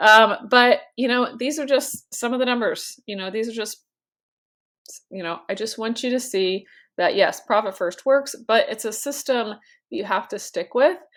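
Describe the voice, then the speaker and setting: On a very clean recording with a silent background, the voice shows ordinary pitch variation and big swings in loudness. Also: woman, fairly high pitch for a woman. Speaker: chiropractor and business finance coach. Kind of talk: casual video talk to camera. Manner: fast; many fillers, conversational.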